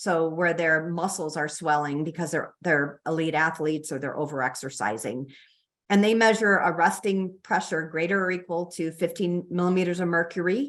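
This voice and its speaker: Speaking with a Chicago accent, a woman uses a fairly low pitch and ordinary pitch variation at a moderate pace. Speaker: physician and researcher. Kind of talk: lecture. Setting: online presentation. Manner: hesitant with fillers.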